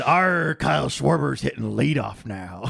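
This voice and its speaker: In a put-on character voice, a man speaks raspily at a moderate pace with a very deep, low pitch. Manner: gruff, theatrical, joking.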